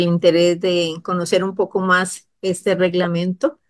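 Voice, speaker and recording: A woman's voice against a quiet background. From Costa Rica. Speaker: government official. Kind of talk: expert explanation on a radio program. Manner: halting. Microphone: video call.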